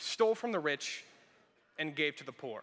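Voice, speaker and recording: A man projects a raised voice with a bright, sharp tone and lively intonation. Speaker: student speaker; speaker. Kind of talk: ceremony speech. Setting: arena stage with audience. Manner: theatrical. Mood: lightly humorous, earnest. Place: hall. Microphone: podium.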